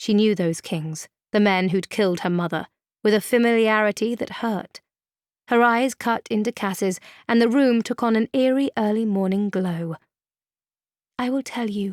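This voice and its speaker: In an unremarkable speaking voice, a woman talks fairly slowly at a fairly high pitch with ordinary pitch variation, the sound dry and close with no echo. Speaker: audiobook narrator. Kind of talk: audiobook narration of fantasy fiction. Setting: studio.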